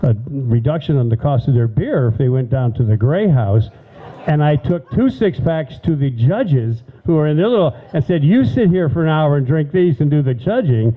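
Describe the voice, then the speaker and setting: A man with a fairly high pitch speaks at a moderate pace with lively intonation and very even loudness over noticeable background noise. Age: 70s. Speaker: local storyteller. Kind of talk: storytelling talk.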